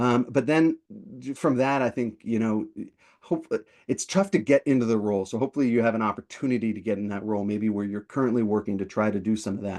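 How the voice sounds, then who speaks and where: Here a man talks at a very fast pace in a medium pitch with ordinary pitch variation. The background is quiet. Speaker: product management coach and webinar host. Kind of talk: webinar Q&A. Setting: online webinar. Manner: many fillers and repetitions.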